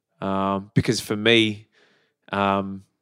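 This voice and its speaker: A man speaks with an Australian accent. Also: very clean recording, silent background. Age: 40s. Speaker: fitness enthusiast and teacher. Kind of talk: casual chat.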